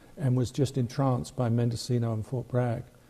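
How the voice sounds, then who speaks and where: A man's voice comes across somewhat breathy, with a dark, mellow tone. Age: 70s. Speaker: model railroad club historian. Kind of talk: radio interview. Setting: studio.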